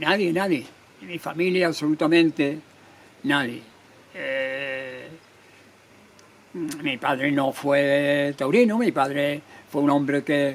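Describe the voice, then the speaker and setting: A man's fairly high voice at a very slow pace, with ordinary pitch variation and long, frequent pauses. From Andalusia, Spain (Cádiz province, Jerez). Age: 80s+. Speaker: retired bullfighter. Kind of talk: interview. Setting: restaurant.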